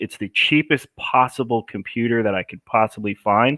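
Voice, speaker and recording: A man with an American accent speaks at a moderate pace and a medium pitch. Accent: New Jersey, fading. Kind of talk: live stream Q&A. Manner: casual, filler-heavy.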